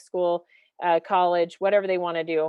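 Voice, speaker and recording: A woman's fairly low voice at a fairly quick pace. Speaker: school superintendent. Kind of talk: podcast interview. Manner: fast.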